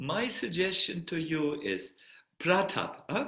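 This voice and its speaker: Very slowly, a man with a slight German accent speaks in a fairly high pitch with a bright, sharp tone. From Germany. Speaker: spiritual teacher, monk. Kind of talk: Q&A at online spiritual retreat. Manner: hesitant, many fillers.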